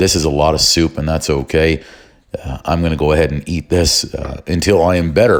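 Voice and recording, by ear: A man puts on a raspy character voice with a very deep, low pitch. He talks at a fairly quick pace with fairly even intonation.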